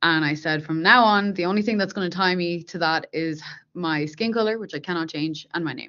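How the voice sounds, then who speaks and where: Speaking at a fairly quick pace in an Irish accent, a woman has a fairly low pitch and ordinary pitch variation. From Ireland, Dublin. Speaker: software engineer. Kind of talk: interview.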